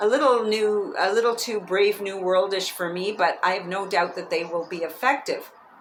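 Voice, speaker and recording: Noticeable background noise accompanies a woman speaking at a medium pitch and moderate pace, with ordinary pitch variation. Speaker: author and public speaking coach. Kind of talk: audiobook-style reading by the author with casual, chatty asides. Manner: lively, humorous, conversational.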